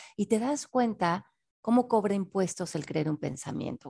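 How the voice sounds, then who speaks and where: With a dark, mellow tone and vocal fry, a woman speaks at a moderate pace with very wide pitch swings in a dry, close sound with no echo. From Mexico City. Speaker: author and personal development teacher. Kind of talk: interview.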